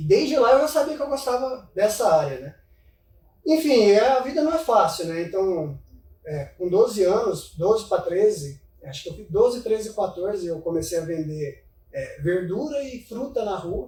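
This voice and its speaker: A man with a high pitch speaks at a moderate pace, his pitch swinging very widely and his loudness rising and falling sharply. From Minas Gerais, Brazil (São Gotardo). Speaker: financial investment advisor. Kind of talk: casual interview chat.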